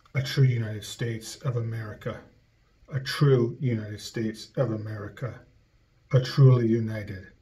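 A man talks at a moderate pace in a dark, mellow, somewhat breathy voice, keeping his intonation fairly even. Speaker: conceptual artist. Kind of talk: spoken word art reading. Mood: solemn, ironic declamation. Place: studio. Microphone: webcam.

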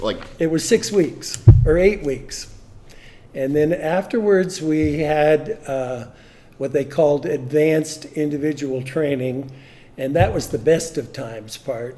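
Dark and mellow in tone, a man's voice moves at a fairly slow pace with ordinary pitch variation. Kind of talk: interview answer. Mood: relaxed, reflective. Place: meeting room. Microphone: studio mic.

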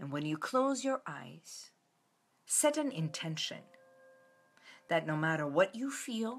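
With music in the background, a woman speaks at a very slow pace using very wide pitch swings. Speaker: wellness host. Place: home room. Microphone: phone near.

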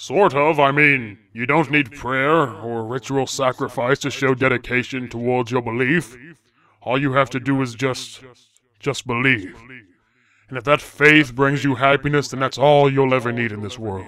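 A man uses a put-on character voice at a medium pitch. The recording is very clean, with a silent background. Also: moderate pace. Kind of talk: comic sketch. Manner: warm, fatherly, casual.

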